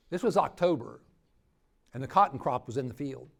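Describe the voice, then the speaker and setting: In an American accent, a man talks with vocal fry and lively intonation. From Ohio. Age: 60s. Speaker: preacher. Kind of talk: workshop talk.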